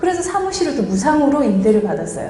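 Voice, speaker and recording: With very wide pitch swings, a woman talks in a strong Gyeongsang accent while noticeable background noise and audible room echo fill the recording. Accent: Gyeongsang dialect, still strong. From Guryongpo, North Gyeongsang, Korea. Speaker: visual merchandising expert, business owner. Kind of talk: motivational lecture.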